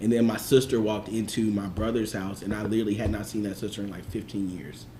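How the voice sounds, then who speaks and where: Over noticeable background noise, a man with a fairly low pitch rattles along at a very fast pace in a monotone, flat intonation. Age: 30s. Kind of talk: casual chat.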